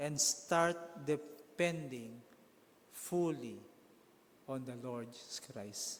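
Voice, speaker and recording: A man speaks at a very slow pace, with long, frequent pauses. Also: fairly high pitch for a man, ordinary pitch variation. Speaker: pastor. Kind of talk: sermon delivered to a congregation.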